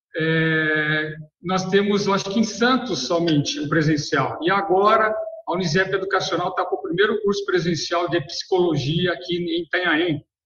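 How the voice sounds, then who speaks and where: A man's high voice at a moderate pace, with ordinary pitch variation and audible room echo. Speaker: professor. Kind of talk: webinar remarks. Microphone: video call.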